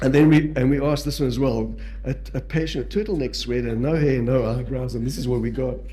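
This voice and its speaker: A man with a South African accent talks at a very fast pace, with audible room echo and noticeable background noise. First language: Portuguese. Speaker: palliative care physician and educator. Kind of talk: lecture. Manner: halting.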